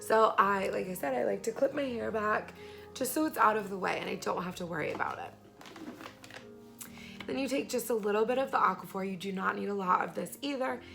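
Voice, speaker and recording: Music plays in the background as a woman speaks at a fairly quick pace, her medium-pitched voice lively in intonation. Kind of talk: beauty tutorial talk to camera.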